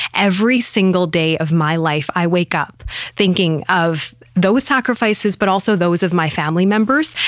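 A woman with a Western Canadian accent, medium in pitch. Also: ordinary pitch variation, moderate pace. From Penticton, British Columbia, Canada. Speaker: TV news anchor. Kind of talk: casual interview chat. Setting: studio.

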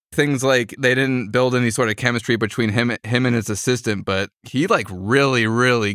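This man has a normal speaking voice, medium in pitch with ordinary pitch variation, speaking at a moderate pace on a very clean recording against a silent background. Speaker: podcast host. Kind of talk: casual chat.

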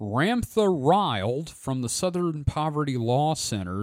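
A man's voice with very wide pitch swings. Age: 40s. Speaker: podcast host. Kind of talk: casual chat.

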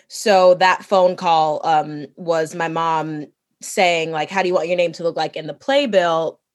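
A woman with an ordinary speaking voice talks at a fairly low pitch with fairly even intonation. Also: fairly slow pace. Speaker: Broadway actress. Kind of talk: casual chat.

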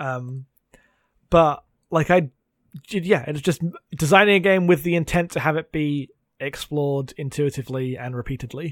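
A man with an English accent speaks at a moderate pace in a fairly high pitch, his pitch varying in an ordinary way, with long, frequent pauses. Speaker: podcast co-host. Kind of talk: casual chat.

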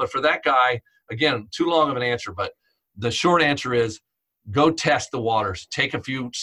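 This man's voice sits at a medium pitch and has a bright, sharp tone. He talks at a moderate pace with ordinary pitch variation. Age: 50s. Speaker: chiropractor and instructor. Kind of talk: interview.

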